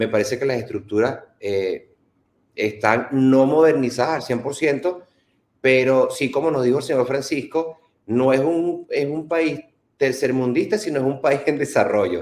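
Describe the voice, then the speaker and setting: A man with an ordinary speaking voice, fairly high in pitch, at a fairly slow pace with ordinary pitch variation. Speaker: political channel host. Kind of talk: casual travel chat.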